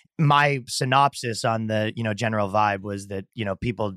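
On a very clean recording with a silent background and a dry, close sound with no echo, a man with a Canadian accent and an unremarkable speaking voice talks at a moderate pace in a fairly low pitch. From Canada. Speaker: comedian. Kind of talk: casual chat.

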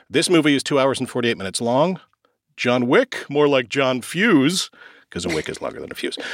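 Speaking at a fairly quick pace, a man with a fairly high pitch uses lively intonation and some vocal fry. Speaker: podcast host. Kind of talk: casual chat.

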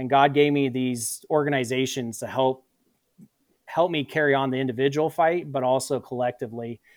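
With an American accent and a normal speaking voice, a man talks at a moderate pace and medium pitch, his intonation fairly even. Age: 30s. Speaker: combat veteran. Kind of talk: interview.

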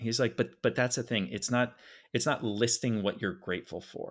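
In a very clean recording with a silent background, a man with an American accent uses an ordinary speaking voice at a medium pitch with ordinary pitch variation. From Philadelphia. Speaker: nonprofit film co-founder. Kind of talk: interview conversation.

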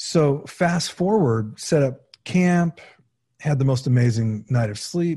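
A man with a West Coast accent speaks at a very slow pace with lively intonation. His tone is dark and mellow, and somewhat breathy. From California, San Fernando Valley. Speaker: documentary filmmaker. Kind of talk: interview conversation.

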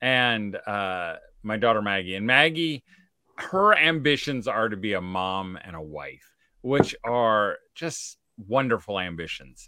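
A man with a fairly low pitch and a bright, sharp tone talks at a fairly slow pace. His intonation is lively, and his loudness swings widely. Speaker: homeschool speaker. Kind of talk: casual chat. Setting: video call.

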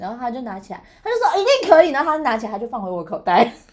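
A woman talks at a very fast pace. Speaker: podcast co-host. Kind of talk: casual chat. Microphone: built-in laptop mic.

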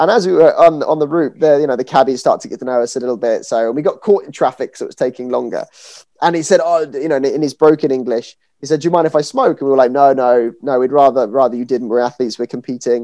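With a British accent, a man talks very fast in a dark, mellow tone at a fairly high pitch. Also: ordinary pitch variation, quiet background. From Britain. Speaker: podcast host and fencing coach. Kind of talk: casual interview chat. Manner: halting with fillers.

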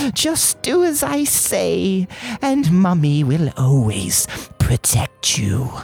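A put-on character voice carries a menacing tone. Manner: possessive, sweetly menacing.

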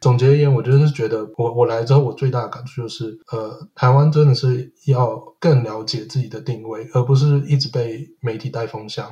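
A man with a medium pitch talks at a fairly quick pace, with fairly even intonation and hardly any pauses. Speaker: podcaster living in Sweden. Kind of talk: casual chat. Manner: halting, frequent word repetitions.

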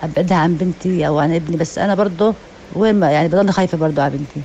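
Fairly low-pitched female voice with fairly even intonation amid noticeable background noise. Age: 50s. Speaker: mother sharing experience. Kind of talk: personal testimony. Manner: halting.

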